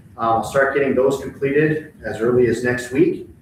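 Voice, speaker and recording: Rather brisk speech from a man, amid clear background noise and an audible echo from the room. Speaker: elementary school principal. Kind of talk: board meeting report. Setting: school board meeting. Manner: fast.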